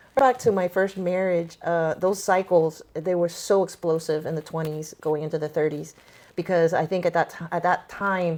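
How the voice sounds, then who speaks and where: A plain, everyday voice from a woman, fairly low-pitched, at a moderate pace with fairly even intonation. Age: 50s. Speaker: podcaster interviewing her stepmother. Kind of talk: personal conversation.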